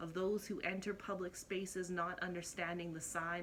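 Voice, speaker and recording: A woman speaks with a fairly low pitch. Her intonation is monotone and flat at a moderate pace. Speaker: spoken word poet. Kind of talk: spoken word poetry performance.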